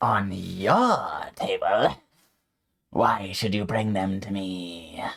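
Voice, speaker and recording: Someone growls out a put-on character voice at a low pitch and a very slow pace. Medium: actual play. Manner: haughty, domineering.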